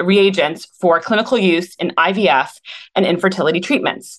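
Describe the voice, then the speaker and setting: A woman talks at a fairly quick pace and a medium pitch. She has a plain, everyday voice. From Canada, Toronto. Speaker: podcast host, clinic wellness team. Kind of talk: reading aloud; casual interview.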